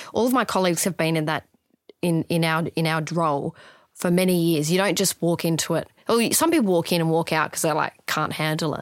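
A woman's fairly low voice comes through a very clean recording with a silent background, dry and close with no echo. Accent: Australian. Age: 30s. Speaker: palliative care nurse. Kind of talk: interview conversation.

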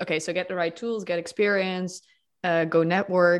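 A woman speaks at a moderate pace with a fairly low pitch. The recording is very clean, with a silent background. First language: not English. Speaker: podcast host. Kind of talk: interview.

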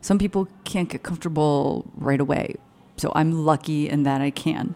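Her voice is a woman's very deep, low pitch with a dark, mellow tone. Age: 30s. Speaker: writer and comedian. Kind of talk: casual chat. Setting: studio in a hotel lobby.

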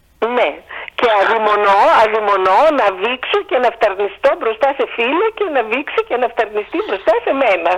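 Noticeable background noise sits behind a woman whose fairly high voice moves slowly, with lively intonation and very even loudness. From Greece. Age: 60s. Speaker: historian, professor. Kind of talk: casual interview. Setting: phone call.

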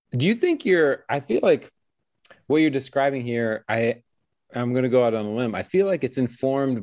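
A man has a plain, everyday voice, medium in pitch with ordinary variation, recorded with a dry, close sound and no echo. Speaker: podcast host. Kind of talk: interview conversation.

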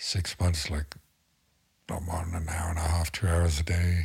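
At a moderate pace, a man with a very deep, low pitch talks in a somewhat breathy, monotone, flat way. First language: not English. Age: 50s. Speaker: tattoo artist. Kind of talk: casual chat.

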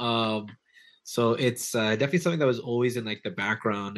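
A man with a Toronto accent talks at a fairly quick pace, his pitch fairly low. Pitch variation is ordinary, and the background is quiet. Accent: Toronto Canadian. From Toronto area, Canada. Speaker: hip hop DJ and producer. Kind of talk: casual interview chat.

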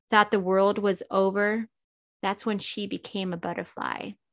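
At a medium pitch, a woman speaks at a moderate pace with monotone, flat intonation. The recording is very clean, with a silent background and a dry, close sound with no echo. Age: 50s. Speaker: life coach. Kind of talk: casual interview chat.

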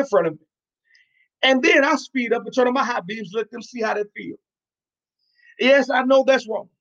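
At an extremely high pitch, a man with an American accent speaks at a moderate pace with ordinary pitch variation, the sound dry and close with no echo. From New York. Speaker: podcast host and preacher. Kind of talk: sermon-style podcast talk.

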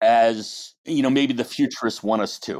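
A man with a plain, everyday voice talks at a fairly slow pace and a medium pitch with ordinary pitch variation. The recording is very clean, with a silent background. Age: 60s. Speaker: advertising agency founder. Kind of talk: podcast interview.

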